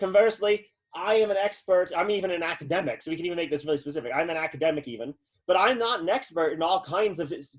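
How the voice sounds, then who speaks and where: A man with a high pitch talks at a very fast pace. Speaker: philosophy lecturer. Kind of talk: lecture.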